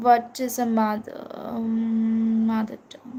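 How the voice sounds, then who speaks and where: This is a woman speaking with a Bengali accent. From India. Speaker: tarot reader. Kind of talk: live tarot reading. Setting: livestream. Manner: halting, many fillers.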